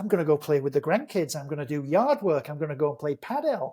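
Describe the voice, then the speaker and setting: A man talks in an animated tone with lively intonation. The recording is very clean, with a silent background. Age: 60s. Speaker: supplement entrepreneur. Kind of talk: podcast interview.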